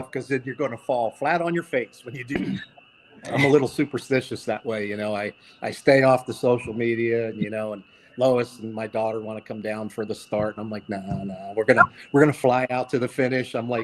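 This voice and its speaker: In a Philadelphia accent, the speaker goes at a fairly quick pace with fairly even intonation and big swings in loudness. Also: man, medium pitch for a man. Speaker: vintage motorcycle rider and collector. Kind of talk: casual podcast interview.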